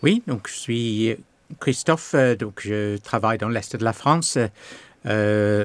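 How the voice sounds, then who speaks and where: A man at a very slow pace with a slight English accent and long, frequent pauses. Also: medium pitch for a man, ordinary pitch variation, very clean recording, silent background. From England. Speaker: pastor. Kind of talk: testimony interview. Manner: halting, many hesitations.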